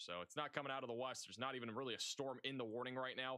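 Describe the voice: Fairly even intonation in a plain read-aloud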